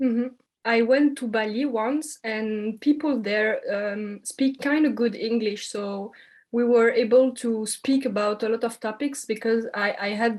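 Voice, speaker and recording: A woman with a French accent speaks at a fairly high pitch. Her pace is fairly slow and her intonation fairly even. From French-speaking Belgium. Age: 20s. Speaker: communication student. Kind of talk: interview. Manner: hesitant.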